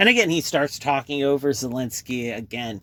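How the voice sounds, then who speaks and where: Loud, with a bright, sharp tone, a man speaks at a moderate pace. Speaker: communication commentator. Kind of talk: video commentary. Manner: casual, hesitant.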